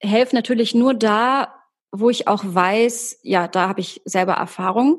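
Against a quiet background, a woman speaks very slowly at a fairly high pitch with ordinary pitch variation. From Germany, Hamburg. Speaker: actress and voice coach. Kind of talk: podcast interview.

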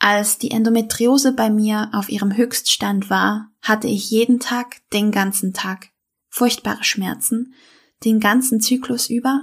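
Speaking at a fairly slow pace, the voice is somewhat breathy with monotone, flat intonation. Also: woman, fairly high pitch for a woman. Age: 30s. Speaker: health podcaster, endometriosis patient. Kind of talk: podcast intro monologue.

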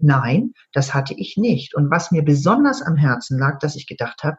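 Very wide pitch swings in a somewhat breathy female voice. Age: 60s. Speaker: EFT trainer and coach. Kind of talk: interview. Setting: online call.

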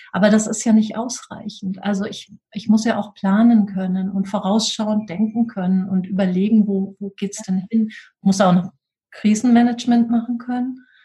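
At a moderate pace, a woman speaks in a fairly high, somewhat breathy voice with a dark, mellow tone and monotone, flat intonation. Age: 40s. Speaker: school leadership coach, former head teacher. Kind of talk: interview.

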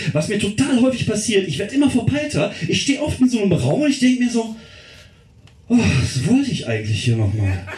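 A man at a high pitch with very wide pitch swings, at a fairly quick pace, amid noticeable background noise and audible room echo. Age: 40s. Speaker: comedian. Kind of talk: stand-up. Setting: stage with audience.

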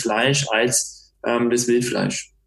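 In a somewhat breathy voice, a man talks at a medium pitch. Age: 30s. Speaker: restaurateur and hunter. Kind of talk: casual interview.

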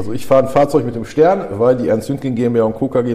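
Over noticeable background noise, a man talks at a very fast pace with a medium pitch. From Germany, Ruhr area (Dorsten). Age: 40s. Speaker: body shop manager. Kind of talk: interview. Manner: hesitant, many fillers.

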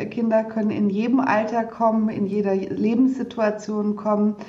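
At a moderate pace, a woman with a fairly high pitch talks over noticeable background noise, with audible room echo around her. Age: 40s. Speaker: physician and company director, book co-author. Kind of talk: interview. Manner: hesitant, many fillers and repetitions.

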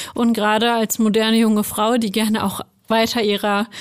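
A woman talks at a fairly slow pace in an ordinary speaking voice. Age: 20s. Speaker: HR analyst. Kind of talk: casual chat.

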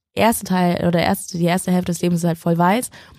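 Speaking at a fairly quick pace, a woman has a fairly low pitch and a dark, mellow tone. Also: dry, close sound with no echo. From northern Germany, Schleswig-Holstein. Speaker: TV presenter and journalist. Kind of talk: casual interview.

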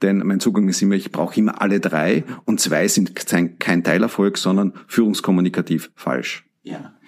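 A fairly low-pitched man with an Austrian accent. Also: ordinary pitch variation, moderate pace. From Austria, Carinthia. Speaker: leadership trainer. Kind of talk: interview.

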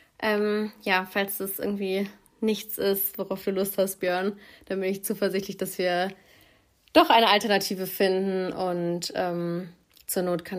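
The voice belongs to a woman. Her pitch is medium. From Göttingen, Germany. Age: 20s. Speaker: student. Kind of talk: voice message self-introduction; casual chat.

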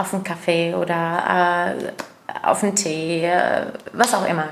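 A woman with an Arabic accent at a very slow pace, with audible room echo and noticeable background noise. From Jordan. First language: Arabic (speaking German). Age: 30s. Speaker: refugee aid project leader. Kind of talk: interview. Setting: sitting together in a community center. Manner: hesitant with many fillers.

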